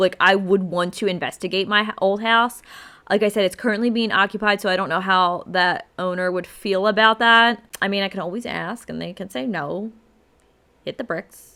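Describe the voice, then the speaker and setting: A woman in a Philadelphia accent speaks at a moderate pace and medium pitch, with ordinary pitch variation. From Philadelphia, South Philly. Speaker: podcast host. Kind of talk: casual podcast monologue.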